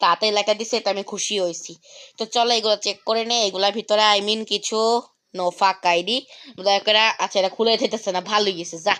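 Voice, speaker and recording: Bright, sharp tone from a woman at a medium pitch. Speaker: gaming YouTuber. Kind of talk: live gameplay commentary. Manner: animated.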